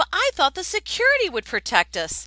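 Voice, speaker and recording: A woman's squeaky, put-on character voice, extremely high in pitch, raised and projected, at a fairly quick pace on a very clean recording with a silent background. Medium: read story. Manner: earnest, questioning.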